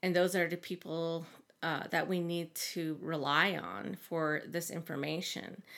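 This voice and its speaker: In a very clean recording with a silent background, a woman with an American accent speaks at a fairly slow pace, her fairly low pitch delivered in a monotone, flat intonation. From Navajo Nation, northern Arizona. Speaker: Navajo graduate student and researcher. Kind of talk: interview conversation.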